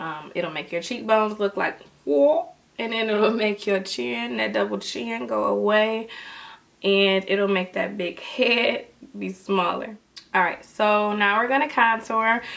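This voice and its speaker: A woman's fairly slow speech with lively intonation and noticeable background noise. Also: medium pitch for a woman. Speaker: beauty youtuber. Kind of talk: makeup tutorial. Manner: casual, chatty.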